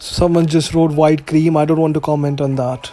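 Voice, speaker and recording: Music plays behind a man whose fairly high voice moves at a moderate pace with monotone, flat intonation. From India, New Delhi. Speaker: gaming live streamer. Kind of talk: live stream gameplay commentary. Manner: casual.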